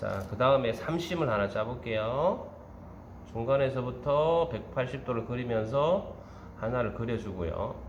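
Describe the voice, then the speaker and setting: At a fairly slow pace and in a relaxed tone, the speaker talks with a strong Gyeongsang accent amid audible room echo. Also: man, medium pitch for a man, ordinary pitch variation. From Gyeongsang Province, South Korea. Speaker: baking instructor. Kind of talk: tutorial. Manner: relaxed step-by-step, frequent filler 'ja'.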